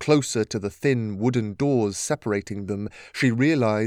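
The pitch shifts in an ordinary way. It comes from a natural reading voice.

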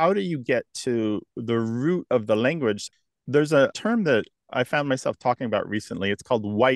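A man with a plain, everyday voice speaks at a moderate pace and medium pitch, with lively intonation. The sound is dry and close with no echo, against a quiet background. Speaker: lexicographer and radio host. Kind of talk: interview. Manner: articulate.

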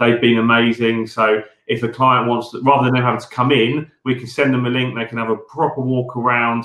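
A man with a British accent speaks at a medium pitch and a fairly quick pace, with hardly any pauses. His intonation is flat and monotone, while his loudness swings widely. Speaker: builders merchant leader. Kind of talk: casual interview chat.

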